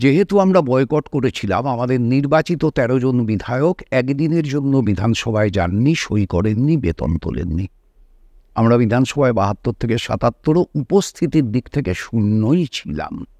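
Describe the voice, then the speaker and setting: A man with a dark, mellow tone speaks at a medium pitch with very wide pitch swings, the sound dry and close with no echo. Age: 60s. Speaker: politician. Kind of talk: interview.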